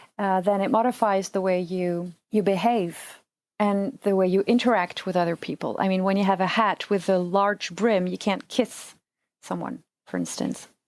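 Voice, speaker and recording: A woman with a French accent speaks at a moderate pace in a very clean recording against a silent background. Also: medium pitch for a woman, fairly even intonation. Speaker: surgical assistant and translator. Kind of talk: casual chat. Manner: halting.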